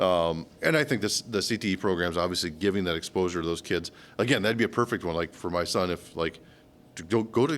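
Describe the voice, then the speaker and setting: A very deep, low-pitched man with an American accent and ordinary pitch variation at a very fast pace, in a very clean recording with a silent background. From Michigan. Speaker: podcast co-host. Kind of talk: casual chat.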